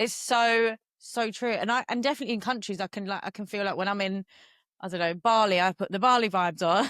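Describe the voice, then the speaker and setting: Recorded very cleanly with a silent background and a dry, close sound with no echo, a woman of medium pitch speaks very fast in a Cockney accent. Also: ordinary pitch variation. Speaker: podcast host and yoga teacher. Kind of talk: casual podcast conversation.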